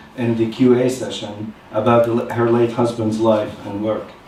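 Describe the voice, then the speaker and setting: A man's medium-pitched voice carries audible room echo over noticeable background noise. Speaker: academic speaker on a panel. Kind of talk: conference talk. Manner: fast.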